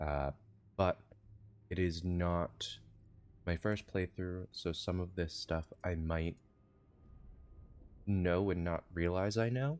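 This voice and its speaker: Soft-spoken and very slow, a man with a very deep, low voice talks with long, frequent pauses, ordinary pitch variation and very even loudness, in a very clean recording with a silent background. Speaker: video game streamer. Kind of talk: live gameplay stream commentary.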